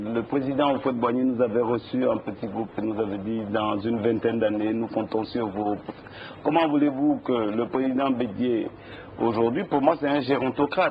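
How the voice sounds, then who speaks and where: A man speaks at a moderate pace in a medium pitch with ordinary pitch variation. Noticeable background noise runs behind him. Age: 60s. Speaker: politician. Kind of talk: TV interview.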